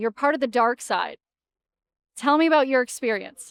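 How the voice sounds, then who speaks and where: A woman with a Canadian accent speaks at a high pitch with ordinary pitch variation, the sound dry and close with no echo. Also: quiet background. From Canada. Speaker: sports reporter, podcast co-host. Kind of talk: casual chat. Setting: on location at media day. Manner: soft-spoken.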